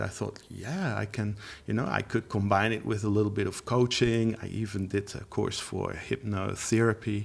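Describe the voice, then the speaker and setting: The speaker is a man with a fairly low pitch. He talks with a Dutch accent. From Netherlands. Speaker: language teacher. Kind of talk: interview. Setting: studio. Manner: halting.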